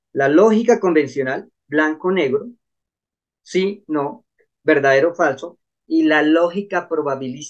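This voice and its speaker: Fairly high pitch from a man with a plain, everyday voice and ordinary pitch variation. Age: 60s. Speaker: Shaolin monk, finance and neuroscience commentator. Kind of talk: interview conversation.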